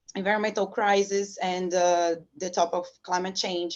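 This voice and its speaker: In a Brazilian Portuguese accent, a woman speaks at a medium pitch over a quiet background. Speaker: professor. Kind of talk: interview. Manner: halting.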